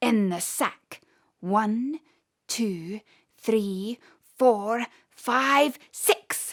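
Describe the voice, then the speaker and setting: In a put-on character voice, a woman speaks at a very slow pace with a fairly high pitch and long, frequent pauses. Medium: read story. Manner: gloating, chuckling.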